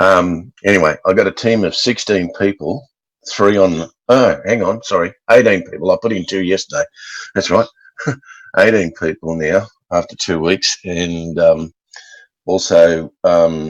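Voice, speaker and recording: Dry and close with no echo, this recording has a man speaking with an Australian accent. He goes at a fairly slow pace, with long, frequent pauses. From Australia, Brisbane. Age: 60s. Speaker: network marketer. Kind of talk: video call question. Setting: video call.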